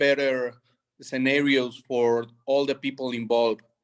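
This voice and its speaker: A man with fairly even intonation and a fairly high pitch speaks at a fairly slow pace. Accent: Spanish. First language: Spanish. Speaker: conference presenter. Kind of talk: panel discussion. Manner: halting.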